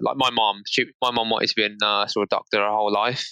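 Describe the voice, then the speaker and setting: A man with a British accent at a moderate pace, in a dry, close sound with no echo. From England. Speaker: marketing professional. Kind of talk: interview.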